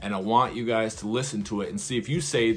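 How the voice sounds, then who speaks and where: Over music in the background, a man at medium pitch speaks at a fairly quick pace. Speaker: YouTuber reviewing a movie trailer. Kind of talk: casual commentary video. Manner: fast.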